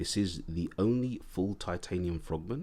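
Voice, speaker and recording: This man has a very deep, low voice with a dark, mellow tone. He speaks fairly slowly in an English accent. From England. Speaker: watch reviewer, YouTuber. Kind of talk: casual video review. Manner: casual, hesitant with fillers.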